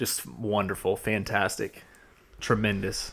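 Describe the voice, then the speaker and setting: A man speaks fairly slowly with a fairly low pitch and a slight Georgia accent. The recording is very clean, with a silent background. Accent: slight Southern (Georgia). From US South, Georgia. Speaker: podcast host. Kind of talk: casual chat. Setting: studio.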